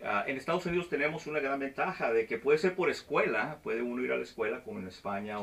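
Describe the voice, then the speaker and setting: At a fairly quick pace, a man talks in a fairly high pitch with very wide pitch swings. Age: 40s. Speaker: flight instructor and video host; flight instructor, video host. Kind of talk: casual interview. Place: office.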